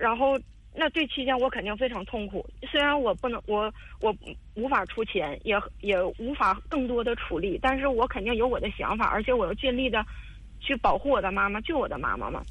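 The woman's voice is fairly high and varies in pitch in an ordinary way. She talks at a fairly quick pace. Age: 30s. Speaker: caller seeking advice on marriage. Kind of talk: personal story on call-in advice show. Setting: phone call. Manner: halting, many fillers and repetitions.

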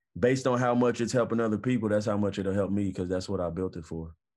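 In an American accent, an ordinary speaking voice comes through with ordinary pitch variation. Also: man, quiet background. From US Midwest, inner-city Indianapolis. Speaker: former pro football player, entrepreneur. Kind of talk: interview conversation.

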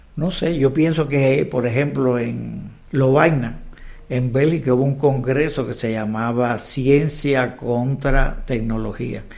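A man's medium-pitched voice at a very slow pace, fairly even intonation, audible room echo and noticeable background noise. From Cuba. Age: 70s. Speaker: mathematics professor. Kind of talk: casual interview.

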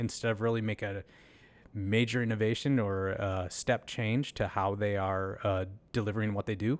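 The recording is very clean, with a silent background. A man with an American accent talks at a moderate pace, using a fairly low pitch and fairly even intonation. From Minnesota, US. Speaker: tech company CEO. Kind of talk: interview. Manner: hesitant, many fillers.

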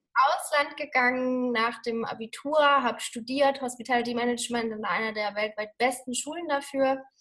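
Pausing hardly at all, a high-pitched woman speaks at a moderate pace with ordinary pitch variation. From Germany. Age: 30s. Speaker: Ayurveda lifestyle coach. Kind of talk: interview.

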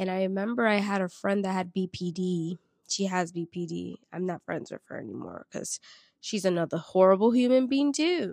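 A normal speaking voice, very clean recording and silent background, moderate pace throughout. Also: woman, medium pitch for a woman, ordinary pitch variation, dry, close sound with no echo. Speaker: podcast host. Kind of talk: solo podcast monologue, casual.

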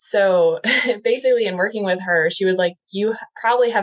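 The pace is fairly quick. A woman's pitch rises and falls in an ordinary way. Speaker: trauma informed coach. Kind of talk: casual podcast interview. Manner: animated, casual.

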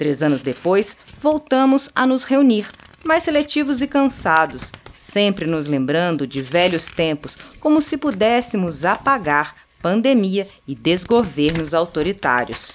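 Through noticeable background noise, a woman of medium pitch speaks at a fairly slow pace, her voice moving in very wide pitch swings. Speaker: podcast host and poetry reader. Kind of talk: poetry reading, slow and meditative, after a scripted narrated introduction. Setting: studio. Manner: slow, soft, measured and contemplative, with pauses at line ends; warm, tender, gently expressive delivery.

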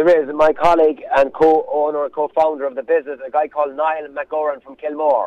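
The speech runs at a fairly quick pace with hardly any pauses, in a west of Ireland accent and a monotone, flat intonation. The sound is dry and close with no echo, while the loudness swings a lot. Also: man, fairly high pitch for a man. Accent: west of Ireland Irish. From Ireland, County Mayo. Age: 40s. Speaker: agribusiness owner and charity cyclist. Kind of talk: radio interview.

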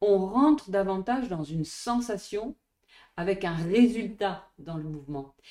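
At a fairly slow pace, a woman with a normal speaking voice and medium pitch uses lively intonation and big swings in loudness. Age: 50s. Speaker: dance and Pilates teacher. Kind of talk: interview conversation.

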